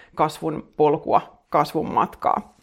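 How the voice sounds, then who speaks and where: A very clean, silent-backed recording of a woman's voice. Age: 40s. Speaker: podcast host and self-help author. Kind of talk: casual solo monologue. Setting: home living room, Instagram live. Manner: rambling, conversational.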